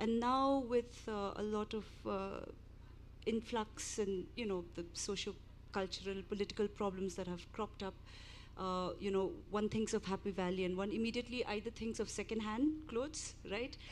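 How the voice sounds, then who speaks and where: Speaking with an Indian accent, a woman keeps a moderate pace at a medium pitch with ordinary pitch variation. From India, army family; grew up partly in Shillong. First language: Hindi. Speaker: book author and translator. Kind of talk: panel discussion. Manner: hesitant, many fillers.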